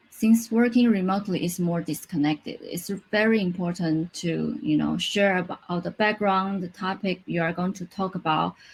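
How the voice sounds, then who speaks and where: A woman's somewhat breathy, medium-pitched voice at a moderate pace. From Taiwan. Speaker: UX designer. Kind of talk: conference talk. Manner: halting, with self-corrections.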